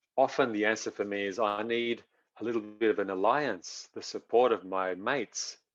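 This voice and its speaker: A man talks at a moderate pace in a normal speaking voice, fairly low in pitch. His intonation is fairly even, and the background is quiet. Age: 50s. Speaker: psychologist. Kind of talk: webinar Q&A answer. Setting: online webinar.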